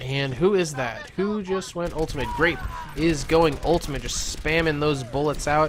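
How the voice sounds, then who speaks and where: There is noticeable background noise behind a man's voice. He speaks at a moderate pace with ordinary pitch variation. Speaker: esports shoutcaster. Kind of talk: live commentary. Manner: halting.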